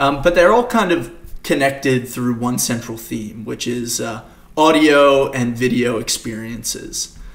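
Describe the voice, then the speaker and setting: A man speaks at a fairly slow pace in a medium pitch with ordinary pitch variation. Noticeable background noise and audible room echo are present. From Australia, Queensland. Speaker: developer advocate. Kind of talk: conference talk. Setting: home recording for virtual conference. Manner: frequent fillers.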